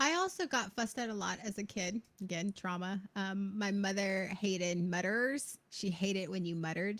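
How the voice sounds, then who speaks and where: The speech moves at a moderate pace with hardly any pauses and ordinary pitch variation. The recording is very clean, with a silent background. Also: woman, medium pitch for a woman. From US South, North Carolina. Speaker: podcast co-host, former vocal student. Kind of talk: casual chat. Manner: loud, projecting; clearly enunciated.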